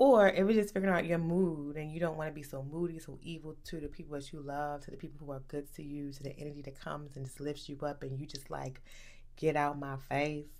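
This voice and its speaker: A woman talks at a very fast pace in a very deep, low voice, her loudness swinging widely. The room echo is clearly audible. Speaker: wellness coach and podcast host. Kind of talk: solo podcast monologue. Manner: casual, animated.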